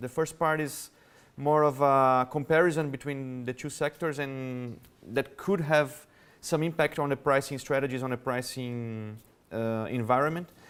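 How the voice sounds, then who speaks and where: On a very clean recording with a silent background, a man with a Brazilian Portuguese accent speaks at a moderate pace, his fairly high voice keeping a fairly even intonation. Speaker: revenue management executive. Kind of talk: conference talk. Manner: halting.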